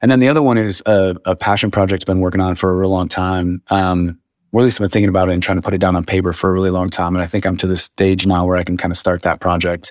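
A man with an American accent and a very deep, low pitch, talking at a very fast pace with fairly even intonation, on a very clean recording with a silent background and a dry, close sound with no echo. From US Midwest, northwest Ohio. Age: 40s. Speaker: photographer and cinematographer. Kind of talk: casual interview chat.

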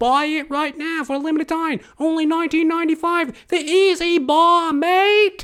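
Putting on a character voice in an Australian accent, a woman speaks at an extremely high pitch and a fairly slow pace, with fairly even intonation and hardly any pauses. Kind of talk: hard-sell ad. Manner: pushy, salesy.

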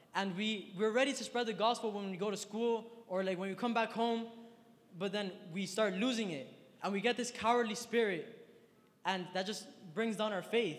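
A man with a high-pitched voice, animated in tone and moderate in pace, with long, frequent pauses and noticeable background noise. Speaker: youth speaker. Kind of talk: sermon. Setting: stage with audience. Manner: animated, slangy.

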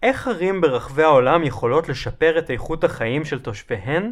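At a moderate pace, a man with a fairly high pitch uses a normal speaking voice on a very clean recording with a silent background. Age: 30s. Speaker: urbanist lecturer. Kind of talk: lecture. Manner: formal.

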